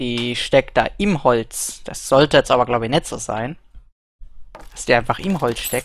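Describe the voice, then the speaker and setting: The voice moves through very wide pitch swings, with a dry sound and no echo. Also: man. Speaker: gamer streamer. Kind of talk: gameplay commentary. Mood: puzzled, curious.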